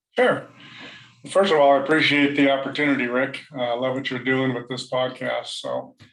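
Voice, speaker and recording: Speaking at a moderate pace, a man with a Californian accent keeps a monotone, flat intonation. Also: fairly high pitch for a man. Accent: General American (Californian). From San Diego, California, US. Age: 60s. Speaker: nonprofit founder. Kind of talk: interview podcast. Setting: home office, video call.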